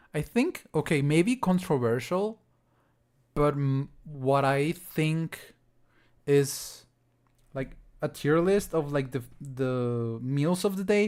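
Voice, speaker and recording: A man with a Spanish accent talks at a very slow pace, leaving long, frequent pauses. His fairly high voice shows ordinary pitch variation on a very clean recording with a silent background. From Mexico. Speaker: music producer. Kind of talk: livestream chat. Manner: halting.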